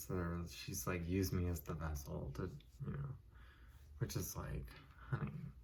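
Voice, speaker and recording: Over noticeable background noise, the speaker is soft-spoken. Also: man. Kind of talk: casual movie review.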